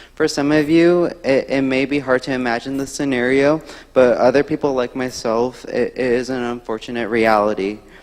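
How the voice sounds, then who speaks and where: Noticeable background noise beneath a man's medium pitch. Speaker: student. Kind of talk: elevator pitch presentation.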